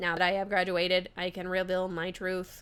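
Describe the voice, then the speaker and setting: A woman puts on a character voice of medium pitch, speaking at a moderate pace in a flat monotone. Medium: game stream. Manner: flat, robotic.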